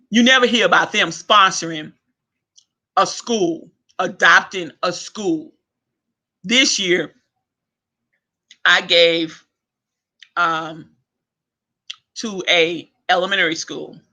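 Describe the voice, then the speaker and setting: Shouting loudly in a high pitch with a bright, sharp tone, a man goes at a very slow pace with long, frequent pauses and ordinary pitch variation. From Louisiana. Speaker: online talk show host. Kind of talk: casual rant monologue. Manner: loud, yelling; animated.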